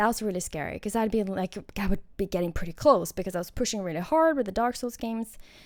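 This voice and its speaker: On a very clean recording with a silent background, a woman with a non-native accent speaks very fast in a medium-pitched voice with lively intonation. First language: not English. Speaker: gaming streamer. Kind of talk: casual commentary over gameplay. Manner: hesitant, with frequent fillers and restarts.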